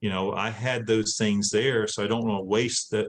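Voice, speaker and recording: A man speaks at a moderate pace in a fairly low pitch, his intonation monotone and flat. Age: 60s. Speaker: former inmate and adult education instructor. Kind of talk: Q&A after a talk.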